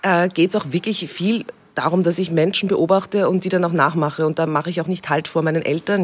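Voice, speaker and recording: The pace is fairly quick. A woman talks with fairly even intonation. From Austria, Upper Austria (Steyr area). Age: young. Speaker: actress, cabaret artist and radio host. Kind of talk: casual interview chat. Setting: outdoors in a garden.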